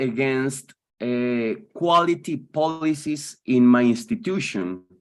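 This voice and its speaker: Speaking at a very slow pace with a Spanish accent, a man uses lively intonation in a fairly high voice. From Colombia. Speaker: philosophy teacher. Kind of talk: webinar discussion. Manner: halting.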